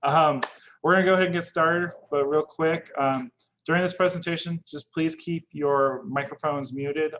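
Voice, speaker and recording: A man with an American accent at a moderate pace. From Northern California. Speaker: academic advisor. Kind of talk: presentation.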